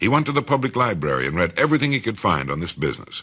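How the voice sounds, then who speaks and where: Using vocal fry, a man with an American accent speaks in a bright, sharp tone, his pitch swinging very widely. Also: quiet background. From United States. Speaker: radio broadcaster. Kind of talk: motivational spoken-word recording.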